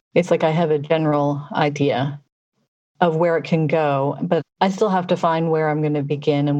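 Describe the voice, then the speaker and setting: A woman's very deep, low voice with a dark, mellow tone, fairly even intonation and a moderate pace. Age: 40s. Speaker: podcast co-host. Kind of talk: casual chat.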